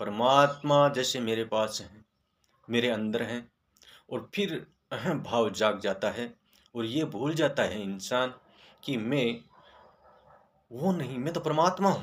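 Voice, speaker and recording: A man with a medium-pitched voice and lively intonation speaks with long, frequent pauses on a very clean recording with a silent background. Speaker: spiritual video creator. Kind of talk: spiritual talk. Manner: occasionally halting.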